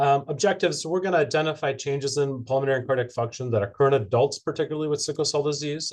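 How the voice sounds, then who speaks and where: A man's somewhat breathy, fairly high-pitched voice at a very fast pace, against a quiet background. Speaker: cardiologist. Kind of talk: lecture.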